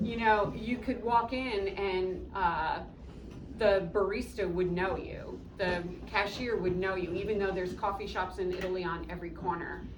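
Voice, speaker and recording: Moderate pace and fairly even intonation, with audible room echo and noticeable background noise. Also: woman, medium pitch for a woman. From upstate New York, small town. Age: 60s. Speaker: coffee shop owner. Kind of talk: interview with students. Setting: classroom.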